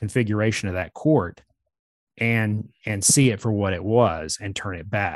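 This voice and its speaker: In a quiet, dry and close recording with no echo, a man with a plain, everyday voice speaks fairly slowly at a medium pitch with ordinary pitch variation. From US South, Georgia (Atlanta area). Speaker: author, journalist. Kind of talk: interview.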